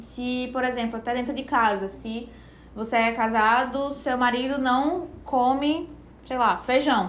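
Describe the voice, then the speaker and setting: Someone with a northeastern Brazilian accent speaks at a fairly slow pace, with audible room echo. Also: woman, high pitch for a woman. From Brazilian Northeast, Recife. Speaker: nutritionist. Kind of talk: casual podcast chat. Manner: relaxed, conversational.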